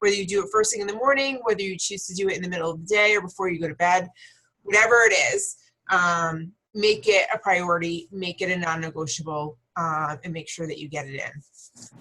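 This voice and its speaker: A woman with a bright, sharp tone and medium pitch speaks at a fairly quick pace, her loudness swinging widely. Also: ordinary pitch variation. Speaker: team leader. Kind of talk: team call presentation.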